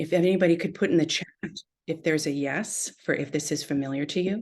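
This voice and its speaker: A woman with a very deep, low voice talks at a very fast pace, her pitch varying in an ordinary way. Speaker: therapist leading a workshop. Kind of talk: online workshop lecture. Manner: soft-spoken.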